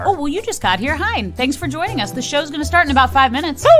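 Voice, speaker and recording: The speaker talks at a very fast pace with very wide pitch swings. Music plays in the background. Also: woman, high pitch for a woman. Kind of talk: friendly host welcome.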